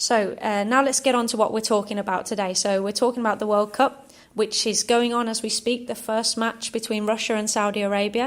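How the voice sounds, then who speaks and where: Speaking fairly quickly in an English accent, a woman holds a fairly high pitch with monotone, flat intonation. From England. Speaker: football club podcast host. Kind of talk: casual chat.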